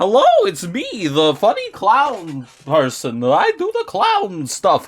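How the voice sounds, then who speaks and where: Using a put-on character voice, a man speaks at a fairly slow pace in a high pitch. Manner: goofy, silly.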